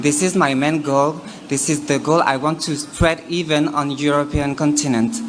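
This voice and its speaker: Audible room echo and music in the background accompany a voice at a moderate pace, with very even loudness and fairly even intonation. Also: woman, very deep, low pitch for a woman. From France. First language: French. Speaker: pageant contestant. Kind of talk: pageant question answer.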